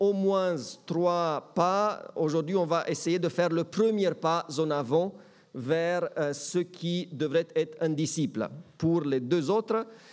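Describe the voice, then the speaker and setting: A man speaks at a very slow pace and high pitch, with ordinary pitch variation and very even loudness. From Romania, German-speaking minority. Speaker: pastor. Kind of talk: sermon. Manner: hesitant with fillers.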